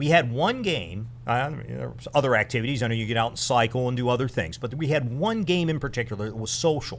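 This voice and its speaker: A man's very fast speech with vocal fry. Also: medium pitch for a man, ordinary pitch variation, hardly any pauses. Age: 60s. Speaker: retired military officer and charity co-founder. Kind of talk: podcast interview. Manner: halting.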